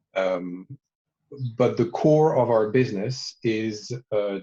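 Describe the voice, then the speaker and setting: A man with a French accent speaks at a medium pitch in a dark, mellow tone that is somewhat breathy. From France. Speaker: watch brand founder and designer. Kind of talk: interview. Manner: hesitant, many fillers.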